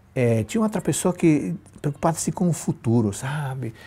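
A man with a dark, mellow tone speaks at a moderate pace, somewhat breathy and with lively intonation, on a very clean recording with a silent background. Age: 50s. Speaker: pastor. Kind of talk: sermon. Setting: live stream.

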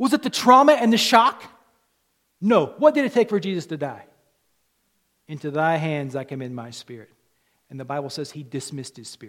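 Over a silent background in a very clean recording, a man with a fairly high pitch sounds animated, his pitch swinging very widely and his loudness shifting a lot, with long, frequent pauses. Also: fairly quick pace. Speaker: pastor. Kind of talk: sermon. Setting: church with congregation. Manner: animated, wry, humorous, hammering points home with call-and-response; earnest, commanding, pressing the congregation to respond.

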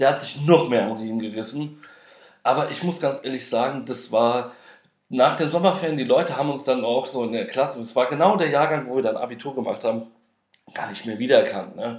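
A man talks at a fairly quick pace, and audible room echo surrounds his voice. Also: medium pitch for a man, ordinary pitch variation. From Frankfurt am Main, Hesse, Germany. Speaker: podcast host. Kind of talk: casual personal monologue. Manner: hesitant, many filler sounds.

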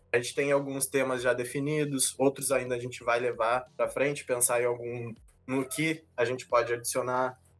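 With music in the background, a man speaks at a medium pitch and a moderate pace in a monotone, flat intonation. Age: 20s. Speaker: podcast co-host, forestry engineering student. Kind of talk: casual chat.

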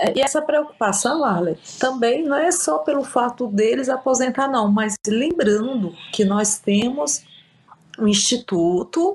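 Her voice sits fairly high in pitch. The woman's delivery is fairly slow. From Brazil, Piauí. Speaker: city councillor and lawyer. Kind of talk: interview.

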